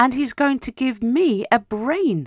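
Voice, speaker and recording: A put-on character voice with a fairly high pitch, delivered at a fairly slow pace. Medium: read story.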